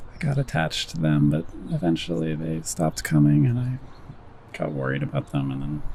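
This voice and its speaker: Over noticeable background noise, a man with a very deep, low pitch talks at a moderate pace using lively intonation. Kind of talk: ASMR whisper ramble. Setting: outdoors. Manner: whispered.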